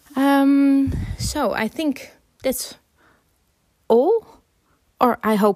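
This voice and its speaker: A high-pitched woman with a Dutch accent and lively intonation, at a very slow pace with long, frequent pauses, in a dry, close sound with no echo. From Netherlands. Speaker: filmmaker. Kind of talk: interview.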